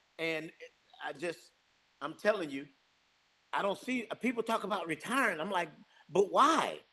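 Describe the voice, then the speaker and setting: The voice is raised and projected, with lively intonation. It moves at a moderate pace with long, frequent pauses. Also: man, high pitch for a man. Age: 60s. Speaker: real estate business owner. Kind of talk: podcast interview. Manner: animated.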